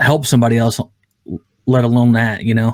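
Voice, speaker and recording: A man at medium pitch, in a dry, close sound with no echo. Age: 30s. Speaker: podcast host. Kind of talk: casual chat.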